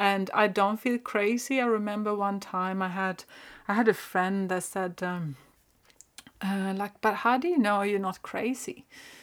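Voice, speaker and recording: Recorded very cleanly against a silent background, a woman with a Swedish accent speaks at a medium pitch. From northern Sweden. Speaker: spiritual podcast host. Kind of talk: personal storytelling monologue. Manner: halting.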